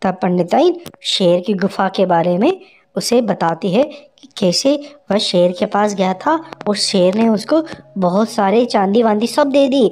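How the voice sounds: A woman speaks at a medium pitch and a fairly slow pace, with a slightly mellow tone, lively intonation and few pauses.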